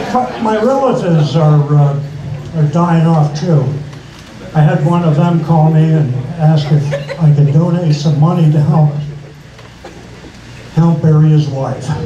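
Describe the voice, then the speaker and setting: A man speaks at a fairly slow pace in a fairly high voice, with long, frequent pauses. Audible room echo and light background noise are present. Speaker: stand-up comedian. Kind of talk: stand-up comedy set. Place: stage.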